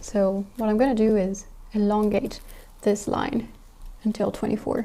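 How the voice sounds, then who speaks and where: A woman speaks at a fairly high pitch and a moderate pace. Her intonation is monotone and flat, and her loudness stays very even. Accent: French. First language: French. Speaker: sewing YouTuber. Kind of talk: tutorial. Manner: thinking aloud.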